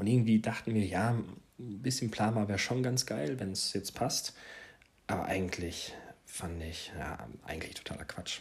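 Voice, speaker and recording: A man talks at a fairly low pitch. His pace is moderate, with ordinary pitch variation. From Hesse, Germany (Marburg). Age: 30s. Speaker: parenting podcaster. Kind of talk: casual monologue. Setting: home living room. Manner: hesitant, with filler words.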